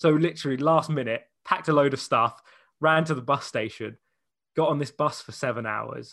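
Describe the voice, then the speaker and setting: With an English accent, a man speaks at a fairly quick pace in a bright, sharp tone and a fairly high pitch. His pitch varies in an ordinary way against a quiet background. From England. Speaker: radio DJ. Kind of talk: casual chat. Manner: animated.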